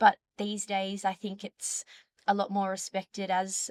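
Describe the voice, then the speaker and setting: Dry and close with no echo, this is a woman speaking with an Australian accent. Her pitch is medium. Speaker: dietitian. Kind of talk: interview. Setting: conference.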